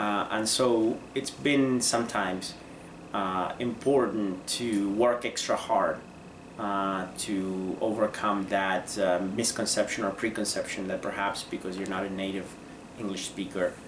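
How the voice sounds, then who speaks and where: A man with a Spanish accent and a fairly low pitch speaks at a fairly slow pace with fairly even intonation, amid audible room echo and noticeable background noise. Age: 30s. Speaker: lawyer. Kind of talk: interview. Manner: hesitant, many fillers.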